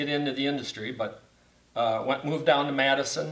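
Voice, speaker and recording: With audible room echo, a man of fairly high pitch talks at a moderate pace with fairly even intonation. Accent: Upper Midwest. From Wisconsin (Beaver Dam). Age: 70s. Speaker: church facility manager. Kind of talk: casual interview.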